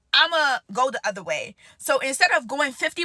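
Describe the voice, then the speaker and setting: A woman's raised, projected voice, high-pitched, animated, and bright and sharp in tone. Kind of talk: casual sermon-style monologue. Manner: loud.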